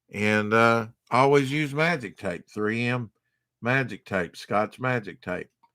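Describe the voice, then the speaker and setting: The tone is bright and sharp, with fairly even intonation. The pace is fairly slow against a quiet background. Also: man. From US South. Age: 50s. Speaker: comic book collector streamer; comic collector streamer. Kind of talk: live stream show-and-tell. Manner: casual, halting with fillers. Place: home room. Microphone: webcam.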